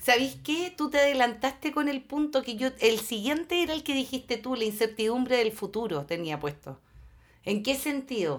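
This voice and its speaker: A woman with a Chilean accent speaks at a moderate pace in a high voice. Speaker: podcast co-host. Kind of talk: casual chat.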